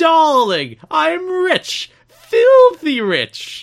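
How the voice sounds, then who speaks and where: The speaker uses a high-pitched put-on character voice. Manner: affected, posh, unhinged.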